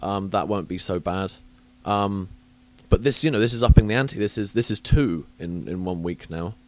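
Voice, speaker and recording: A man with a southern English accent, fairly low in pitch, at a moderate pace with ordinary pitch variation, on a very clean recording with a silent background. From southern England, Southampton. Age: 30s. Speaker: podcast host. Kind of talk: casual chat. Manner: chatty, hesitant with many fillers.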